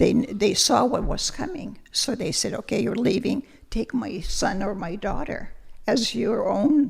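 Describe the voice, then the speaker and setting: Using a Lithuanian accent, a woman speaks at a fairly slow pace with a fairly high pitch and lively intonation. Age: 80s+. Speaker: retired language teacher. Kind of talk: interview.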